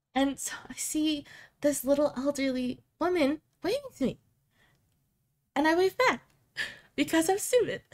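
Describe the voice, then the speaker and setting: A woman with an American accent speaks at a moderate pace in a high voice, leaving long, frequent pauses. Her intonation is lively. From United States. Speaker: VTuber. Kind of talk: casual storytelling to camera.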